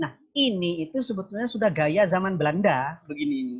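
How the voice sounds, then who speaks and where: A man speaks in a Madurese accent. His pace is moderate and his intonation lively. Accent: Madurese accent in Indonesian. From Probolinggo, East Java, Indonesia (Madurese). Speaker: university lecturer, keynote speaker. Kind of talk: online academic discussion. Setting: video call.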